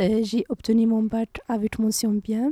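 A woman with a North African accent, a fairly high pitch, a dark, mellow tone and a very slow pace, in a dry, close sound with no echo. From Morocco, Rif region; moved to France at 13. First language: Berber (speaking French). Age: 20s. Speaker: university student. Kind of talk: interview.

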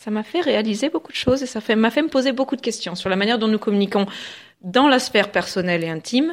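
Here a woman speaks with a fairly high pitch. Her intonation is lively. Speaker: public speaking trainer. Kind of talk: radio interview. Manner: fluent.

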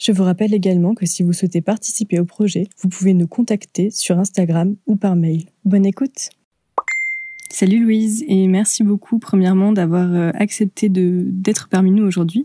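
This woman has an unremarkable speaking voice, a medium pitch, fairly even intonation, very even loudness and a moderate pace. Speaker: podcast host. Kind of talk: casual interview. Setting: remote call recording.

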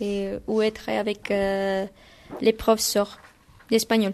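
A woman speaks at a very slow pace. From Guatemala. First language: Spanish (speaking French). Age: 20s. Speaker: Spanish language assistant. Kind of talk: interview. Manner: halting.

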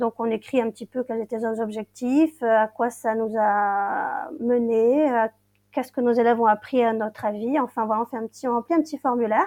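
In a very clean recording with a silent background and a dry, close sound with no echo, a woman with a normal speaking voice talks at a moderate pace, her fairly high pitch showing ordinary variation. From Brittany, Finistère. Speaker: English teacher. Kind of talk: interview.

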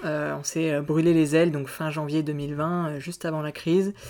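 A man with a fairly high pitch talks at a moderate pace, his intonation fairly even. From France, Auvergne. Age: 20s. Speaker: student and magazine co-founder. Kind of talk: interview. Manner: halting.

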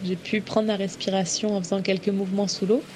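Her voice is a woman's, medium in pitch, with a dark, mellow tone and a somewhat breathy quality. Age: 30s. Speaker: traveller and freediver. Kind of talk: testimony. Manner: halting, with repetitions and hesitations.

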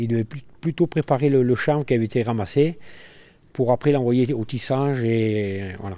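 A medium-pitched man with a dark, mellow tone, at a fairly quick pace with long, frequent pauses, ordinary pitch variation and big swings in loudness. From Mens, Trièves, French Alps. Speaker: local resident. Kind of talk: interview testimony.

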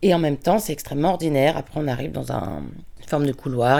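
The voice belongs to a woman. Her words come out very fast. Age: 40s. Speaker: prison visitor. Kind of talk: testimony. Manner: halting.

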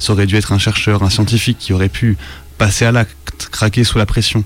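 Over noticeable background noise, a man with a fairly low pitch speaks at a fairly quick pace with ordinary pitch variation. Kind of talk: horror creepypasta narration in the voice of a researcher. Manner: grave, measured, ominous, with a haunted and shaken tone.

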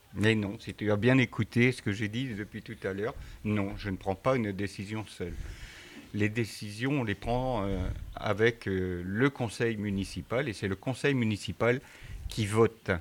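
A man with a plain, everyday voice talks at a fairly slow pace and fairly low pitch, his intonation fairly even. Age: 60s. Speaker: mayor. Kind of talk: interview answering schoolchildren.

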